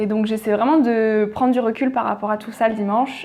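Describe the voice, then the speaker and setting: Music plays in the background as a woman speaks in a fairly high pitch. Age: 20s. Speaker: podcast creator. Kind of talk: casual interview. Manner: hesitant fillers (euh).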